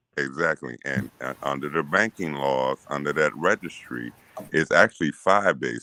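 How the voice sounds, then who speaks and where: With vocal fry and lively intonation, a man speaks at a moderate pace in a dry, close recording with no echo. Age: 60s. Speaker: open panel participant. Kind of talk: casual discussion. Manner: halting, repetitive.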